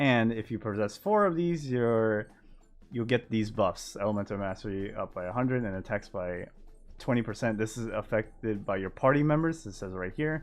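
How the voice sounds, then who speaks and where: Music plays in the background while a man at medium pitch speaks at a moderate pace with ordinary pitch variation. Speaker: gaming content creator. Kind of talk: game patch notes overview. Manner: mumbling.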